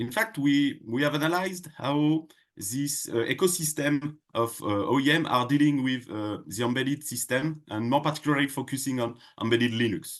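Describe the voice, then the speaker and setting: With a French accent, a man speaks using ordinary pitch variation. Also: fairly high pitch for a man, moderate pace, quiet background. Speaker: tech company product head. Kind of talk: podcast interview. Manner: halting, many fillers.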